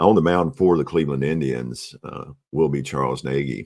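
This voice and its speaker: A man's very deep, low voice at a moderate pace with ordinary pitch variation. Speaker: tabletop baseball replay narrator. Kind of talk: game replay commentary. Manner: hesitant, many fillers.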